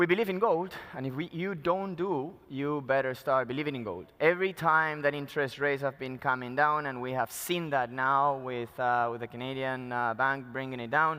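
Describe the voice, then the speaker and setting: A man with a Spanish accent speaks at a moderate pace with hardly any pauses. His fairly high voice has a bright, sharp tone and ordinary pitch variation. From Peru. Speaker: mining company executive. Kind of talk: conference presentation. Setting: stage at conference.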